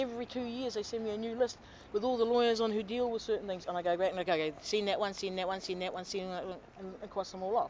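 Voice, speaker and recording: Speaking very fast with hardly any pauses, a woman with a New Zealand accent uses a medium pitch and ordinary pitch variation. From New Zealand, Auckland. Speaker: complainant to government office. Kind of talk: testimony.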